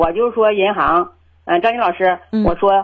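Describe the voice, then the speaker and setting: An unremarkable speaking voice with ordinary pitch variation comes through here. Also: woman. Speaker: caller. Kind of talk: phone call-in conversation. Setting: phone call. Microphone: worried too quiet, host says clear.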